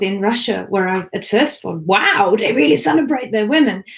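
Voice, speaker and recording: A woman speaks at a moderate pace in a somewhat breathy voice, her pitch varying in an ordinary way. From Germany. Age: 30s. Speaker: language blogger and event co-host. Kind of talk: video call panel introduction.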